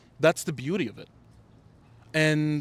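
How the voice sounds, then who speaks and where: An animated man with a non-native accent at a fairly quick pace. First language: not English. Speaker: playwright and director. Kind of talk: casual interview chat.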